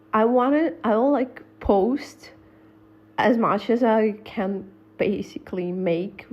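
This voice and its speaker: At a very slow pace and a fairly high pitch, a woman with a non-native accent speaks with ordinary pitch variation and very even loudness. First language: not English. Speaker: gossip vlogger. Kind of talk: casual storytelling monologue. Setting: voice-over on a slide presentation, face not shown.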